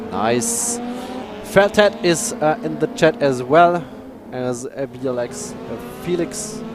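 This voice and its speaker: A high-pitched man with a German accent, very wide pitch swings and a very slow pace over noticeable background noise. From Germany. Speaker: sim racing commentator. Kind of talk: live commentary. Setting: live stream. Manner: halting.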